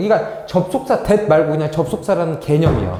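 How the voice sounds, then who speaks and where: Noticeable background noise and audible room echo are heard as this man talks. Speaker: English academy teacher. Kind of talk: lecture. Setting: classroom recorded on camera.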